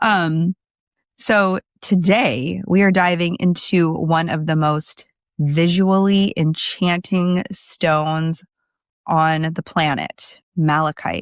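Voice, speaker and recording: In a very clean recording with a silent background, a woman with a fairly low voice speaks very slowly, keeping her intonation fairly even. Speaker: podcast host. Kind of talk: casual solo podcast talk. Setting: home desk recording.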